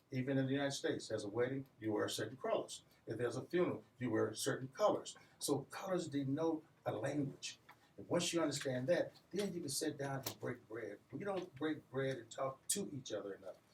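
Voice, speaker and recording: Somewhat breathy, with lively intonation and a fairly quick pace. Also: man, fairly high pitch for a man. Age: 60s. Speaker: community business leader. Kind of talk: radio interview.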